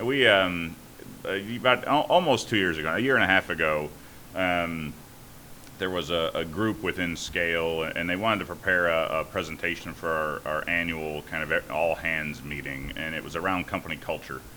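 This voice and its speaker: At a moderate pace, a man speaks in a very deep, low voice with ordinary pitch variation. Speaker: startup founder and CEO. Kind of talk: podcast interview. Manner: halting.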